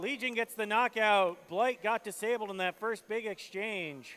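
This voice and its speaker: A man projects a raised voice, high in pitch and bright and sharp in tone, at a fairly slow pace. His pitch variation is ordinary, and the sound is dry and close with no echo. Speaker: robot combat commentator. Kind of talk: live commentary. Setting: indoor event arena, livestream. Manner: animated.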